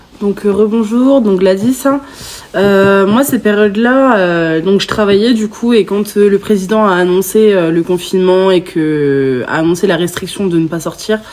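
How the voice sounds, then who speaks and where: A woman speaks at a fairly slow pace with a medium pitch and ordinary pitch variation. Noticeable background noise can be heard. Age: 20s. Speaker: podcast guest sharing covid experience. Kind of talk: testimony. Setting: in-person podcast recording.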